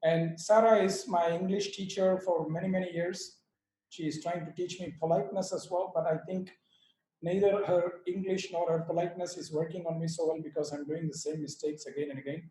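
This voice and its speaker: Speaking fairly quickly with an Indian accent, a man uses a high pitch, a dark, mellow tone and monotone, flat intonation. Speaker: yoga teacher and author. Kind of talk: speech at online book launch. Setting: video call.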